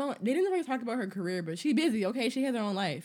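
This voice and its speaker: With lively intonation, a woman speaks in an animated tone. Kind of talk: casual chat. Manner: animated, bantering.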